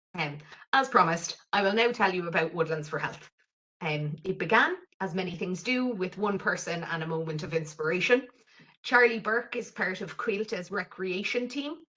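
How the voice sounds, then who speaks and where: Someone speaks with an Irish accent at a moderate pace, the intonation lively and full of movement. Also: woman, medium pitch for a woman. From southwest Ireland (County Cork coast). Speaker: mental health programme lead. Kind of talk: webinar presentation.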